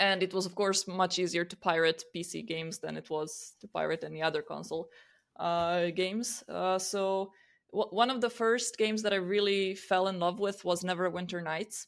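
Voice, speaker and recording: On a very clean recording with a silent background, a woman with a Croatian accent speaks at a moderate pace in a medium pitch with fairly even intonation. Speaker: podcast co-host. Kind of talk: casual chat.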